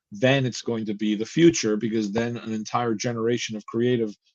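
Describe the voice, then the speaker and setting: A man's voice at medium pitch, with fairly even intonation. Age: 60s. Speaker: comic book writer. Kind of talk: interview. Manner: halting, many repeated words.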